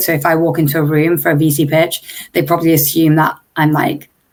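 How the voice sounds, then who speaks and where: A woman talks in an English accent. Her pitch is fairly low, and her pace is moderate. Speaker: startup founder. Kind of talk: interview.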